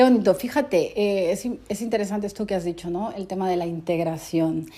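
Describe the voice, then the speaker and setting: A woman with a Peruvian accent speaks at a fairly quick pace in a medium pitch, her tone dark and mellow, with ordinary pitch variation. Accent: Peruvian Spanish, kept. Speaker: interviewer. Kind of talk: interview conversation.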